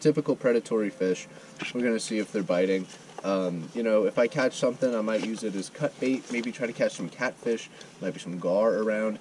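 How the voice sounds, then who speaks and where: The speech comes at a fairly quick pace with ordinary pitch variation over light background noise. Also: man. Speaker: angler vlogger. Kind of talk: casual vlog chat. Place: waterside. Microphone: camera far.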